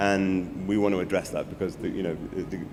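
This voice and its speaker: A man with a very deep, low voice speaks amid audible room echo. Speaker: creative technology agency CEO. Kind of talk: conference talk. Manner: many fillers and repetitions; fast.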